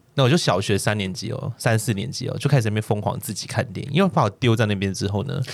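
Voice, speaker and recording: A man's somewhat breathy, medium-pitched voice at a very fast pace, with hardly any pauses. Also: ordinary pitch variation. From Hong Kong. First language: Cantonese (speaking Chinese). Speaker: podcast co-host. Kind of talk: casual chat.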